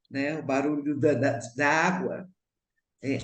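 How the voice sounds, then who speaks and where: This woman talks fairly slowly, her voice carrying audible room echo. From Brazil, Minas Gerais (Belo Horizonte). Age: 70s. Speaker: actress and cook. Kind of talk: radio interview.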